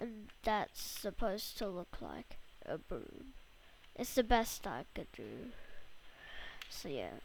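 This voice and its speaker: Whispering at a very slow pace, a woman leaves long, frequent pauses while her loudness swings widely. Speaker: Minecraft tutorial youtuber. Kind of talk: tutorial. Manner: halting.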